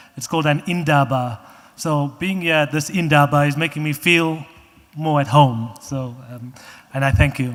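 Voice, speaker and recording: With a South African accent, a man speaks at a fairly high pitch. His pitch varies in an ordinary way. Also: moderate pace. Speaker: trail organization representative. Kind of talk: public comment at meeting.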